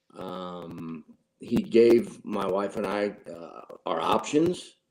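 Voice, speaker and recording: A man's fairly low, dark, mellow voice in a St. Louis accent, with lively intonation. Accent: Midwestern US (St. Louis area). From Granite City, Illinois (St. Louis area). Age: 60s. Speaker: gym member, cancer survivor. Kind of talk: interview, personal testimony.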